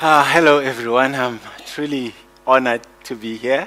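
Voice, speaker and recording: Noticeable background noise sits behind this man's medium-pitched voice. He speaks at a fairly slow pace. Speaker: motivational speaker. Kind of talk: keynote speech. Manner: loud.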